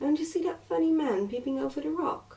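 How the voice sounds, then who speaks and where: A soft-spoken woman with an English accent lets her pitch swing very widely. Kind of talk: bedtime story reading.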